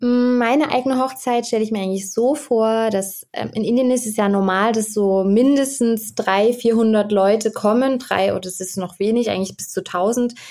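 A woman's fairly high voice at a moderate pace, with fairly even intonation and hardly any pauses. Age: 20s. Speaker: medical student, guest expert on Indian weddings. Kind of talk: interview. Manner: halting, many fillers.

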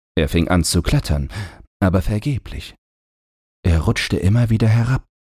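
This man's fairly low voice has a dark, mellow tone with a slightly husky edge and lively intonation at a moderate pace. The recording is very clean, with a silent background.

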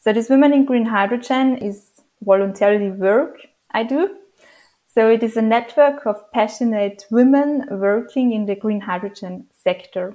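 A woman with a fairly high pitch speaks at a moderate pace with ordinary pitch variation in an unremarkable speaking voice. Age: 30s. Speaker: hydrogen engineer. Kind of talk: interview.

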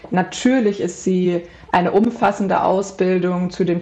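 Over noticeable background noise, a woman with a medium pitch talks at a fairly slow pace. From central Hesse, Germany. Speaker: animal communicator. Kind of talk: interview.

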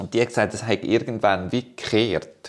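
A man with a Swiss accent, talking at a fairly quick pace. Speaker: podcast co-host. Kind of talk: casual chat.

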